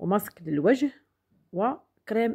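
A woman speaks in a Moroccan accent with lively intonation. The background is quiet. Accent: Moroccan Darija with French loanwords. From Morocco. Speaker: beauty product sales vlogger. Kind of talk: product demonstration vlog. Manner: halting with fillers. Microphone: phone near.

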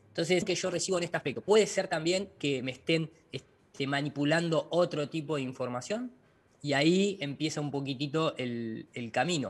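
A man with a fairly high pitch speaks at a moderate pace, his pitch varying in an ordinary way. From Argentina, La Plata; Argentina. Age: 40s. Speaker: flat-earth lecturer, visual effects director; flat-earth lecturer. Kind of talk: interview. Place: home room. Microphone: video call.

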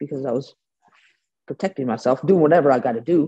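Against a quiet background, a woman speaks in a dark, mellow tone with ordinary pitch variation. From US West Coast, San Francisco Bay Area; US West Coast. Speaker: bare knuckle fighter; guest. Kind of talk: interview; interview answer. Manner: casual, halting with fillers. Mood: confident, candid. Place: home room. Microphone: video call.

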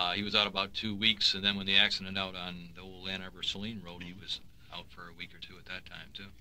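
Delivered at a very fast pace with an American accent, this voice has a bright, sharp tone, monotone, flat intonation and big swings in loudness. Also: man, very deep, low pitch for a man. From US Midwest. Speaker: radio station general manager. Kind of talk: reminiscing radio conversation. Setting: radio studio.

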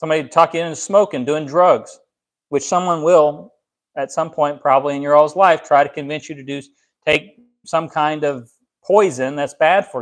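A man's fairly high voice at a moderate pace with fairly even intonation. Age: 30s. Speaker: pastor; preacher. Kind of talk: sermon. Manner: halting. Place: home room.

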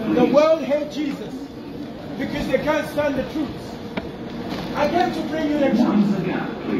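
At a fairly slow pace, a man speaks with an extremely high pitch over clear background noise.

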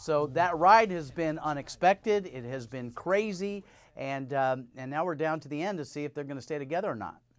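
The man talks at a fairly quick pace with a fairly high pitch and lively intonation. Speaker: TV host. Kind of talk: interview. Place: studio. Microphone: lapel.

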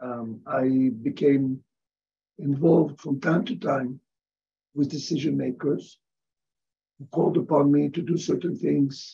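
This man has a fairly high pitch and a somewhat breathy voice with a dark, mellow tone. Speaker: professor. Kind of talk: interview.

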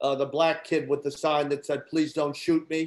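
The speaker is a man. He talks with flat, monotone intonation. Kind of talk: informal lecture to students. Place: kitchen. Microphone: webcam.

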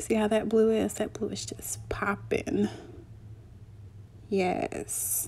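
A woman talks at a very slow pace, stopping often for long pauses. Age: 20s. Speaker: beauty vlogger. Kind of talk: makeup tutorial voiceover.

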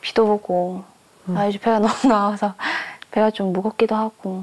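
This is a woman speaking. Her pace is moderate. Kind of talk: casual conversation with spouse. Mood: pleading then annoyed. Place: home room.

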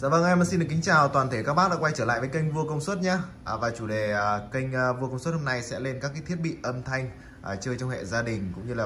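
Someone speaks at a very fast pace over light background noise. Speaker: shop seller reviewing a microphone. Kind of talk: product review chat. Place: shop. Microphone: phone near.

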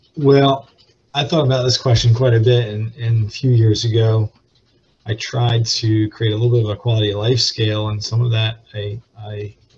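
A man's somewhat breathy voice stays in a monotone, flat intonation. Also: moderate pace. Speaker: panelist. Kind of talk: panel discussion answer. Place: office. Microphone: video call.

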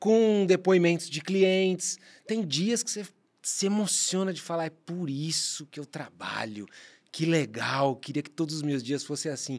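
Against a quiet background, a man talks with a fairly high pitch. His intonation is lively and his pace fairly slow. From Brazil. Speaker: podcast co-host and marketer; podcast co-host. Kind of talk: casual chat. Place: studio. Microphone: studio mic.

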